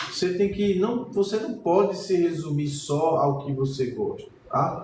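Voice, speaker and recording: A high-pitched man with a Pernambuco accent talks at a fairly slow pace with lively intonation and very even loudness, amid audible room echo and noticeable background noise. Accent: Pernambuco Brazilian Portuguese. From Pernambuco, northeast Brazil. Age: 40s. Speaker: painting teacher. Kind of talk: live-streamed painting lesson. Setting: art studio, live stream. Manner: casual, conversational.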